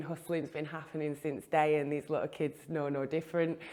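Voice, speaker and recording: On a very clean recording with a silent background, a woman with a Mancunian accent talks at a very fast pace in a fairly low pitch. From northern England, Manchester. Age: 30s. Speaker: interviewee sharing life story. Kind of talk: personal testimony.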